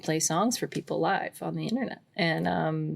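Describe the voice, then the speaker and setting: A woman with an American accent and very deep, low pitch, in a very clean recording with a silent background. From Pacific Northwest, suburbs of Portland, Oregon. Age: 20s. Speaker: folk musician. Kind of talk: interview. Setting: home recording in a closet.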